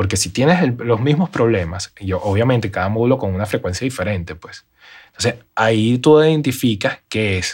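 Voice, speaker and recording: This man has an ordinary speaking voice at a medium pitch, with lively intonation and a moderate pace. The recording is very clean with a silent background. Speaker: live sound and RF engineer. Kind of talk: interview.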